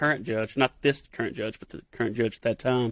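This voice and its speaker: Talking at a very fast pace, a man with an Appalachian accent speaks at a medium pitch, and the sound is dry and close with no echo. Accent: Appalachian rural Southern. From Kentucky. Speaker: TV field producer. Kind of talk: podcast interview answer. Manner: casual, folksy.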